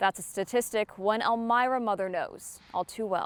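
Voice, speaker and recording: Here a woman has a normal speaking voice with an American accent, fairly high pitch and ordinary pitch variation. She talks at a moderate pace in a very clean recording with a silent background. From Connecticut, USA. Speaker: television news anchor and reporter. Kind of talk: morning TV news anchor read.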